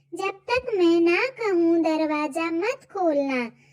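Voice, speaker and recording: A woman puts on a squeaky, cartoonish character voice at a very slow pace. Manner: pleading.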